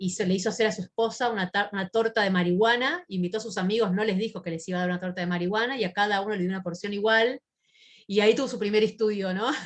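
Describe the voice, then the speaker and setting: A woman with a medium pitch talks at a very fast pace with fairly even intonation. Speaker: psychiatrist. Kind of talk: lecture. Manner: halting with fillers.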